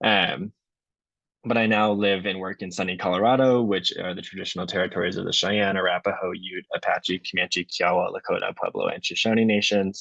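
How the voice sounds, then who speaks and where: Speaking in an American accent, a man keeps a fairly low pitch and a monotone, flat intonation. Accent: strong Wisconsin accent, occasionally. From US Midwest, Wisconsin. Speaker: PhD candidate, ecologist. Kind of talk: lecture. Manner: conversational, filler-heavy.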